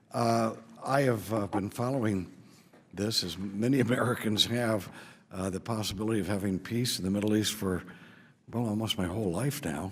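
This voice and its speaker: A man talks at a moderate pace, using a plain, everyday voice. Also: fairly low pitch for a man, ordinary pitch variation. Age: 60s. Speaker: congressman. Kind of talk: committee hearing statement. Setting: congressional hearing room.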